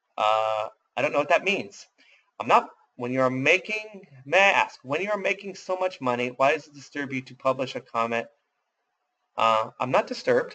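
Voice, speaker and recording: A man with an American accent speaks at a moderate pace in a bright, sharp tone, his fairly high pitch swinging very widely. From US Midwest. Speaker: webinar host, robot trading educator. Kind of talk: casual chat, live webinar Q&A. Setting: live webinar. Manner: casual, filler-heavy.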